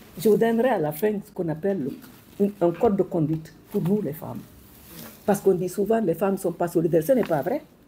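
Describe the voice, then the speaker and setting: A woman talks at a very fast pace in a dark, mellow tone that is somewhat breathy. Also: medium pitch for a woman, ordinary pitch variation. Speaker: former minister and educator. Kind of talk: speech to an audience. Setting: hall with audience.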